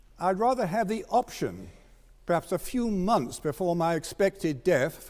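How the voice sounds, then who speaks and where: A man with a British accent, high-pitched, at a fairly slow pace, with ordinary pitch variation. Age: 70s. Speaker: doctor and assisted dying campaigner. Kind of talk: formal debate speech.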